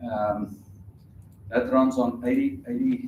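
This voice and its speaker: A man with a South African accent talks at a fairly slow pace with lively intonation, with noticeable background noise and audible room echo. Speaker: conference speaker. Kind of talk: technical talk with live demo. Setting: conference stage with audience. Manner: casual, hesitant with fillers.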